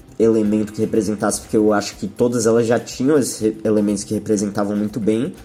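A man with a dark, mellow tone speaks at a fairly low pitch with fairly even intonation. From Brazil, São Paulo city. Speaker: rock musician. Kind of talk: interview.

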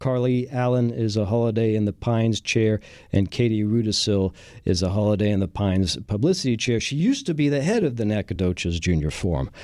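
Medium in pitch, a man's voice carries a dark, mellow tone. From France. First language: French. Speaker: radio host. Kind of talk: radio interview. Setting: studio.

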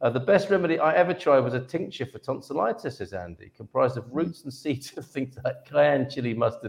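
The pace here is fairly quick. It's a plain, everyday voice, and the pitch varies in an ordinary way. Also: man. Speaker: live show host. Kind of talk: casual livestream chat. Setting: video livestream from separate rooms.

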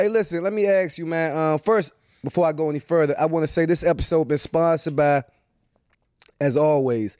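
Fairly quick and fairly high in pitch, a man speaks with a DC area accent in a dry, close sound with no echo. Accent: DC area urban American English. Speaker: podcast host. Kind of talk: casual podcast interview, profane.

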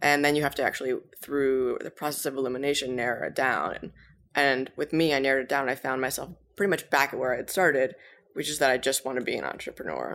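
This woman's voice is very deep and low in pitch. She speaks at a very fast pace with fairly even intonation. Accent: American. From Massachusetts (Cambridge). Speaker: startup founder and CEO. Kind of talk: interview.

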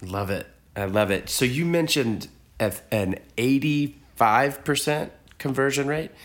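A man speaks in an unremarkable speaking voice. His pitch is fairly high, with lively intonation. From Texas. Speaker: podcast host. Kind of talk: interview. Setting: in person, on location.

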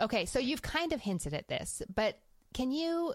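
Here is an ordinary speaking voice: a woman at a moderate pace with ordinary pitch variation. The recording is very clean, with a silent background. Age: 30s. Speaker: podcast host. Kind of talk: casual interview chat.

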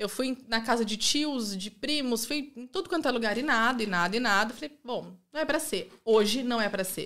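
A woman speaks in an ordinary speaking voice, fairly high-pitched, with lively intonation. Her pace is moderate, and the recording is very clean with a silent background. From interior of São Paulo state, Brazil (Rio Claro). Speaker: immigrant mother. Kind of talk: casual chat.

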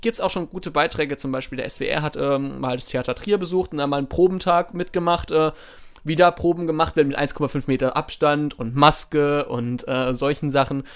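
In an ordinary speaking voice, a man talks at a moderate speed, his fairly high pitch showing ordinary pitch variation. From southern Germany, Baden. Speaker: podcast co-host. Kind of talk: casual chat.

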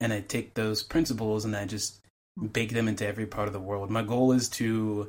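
A man with an American accent, a fairly low pitch, monotone, flat intonation and a moderate pace. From Chicago suburbs. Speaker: game writer. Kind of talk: casual chat.

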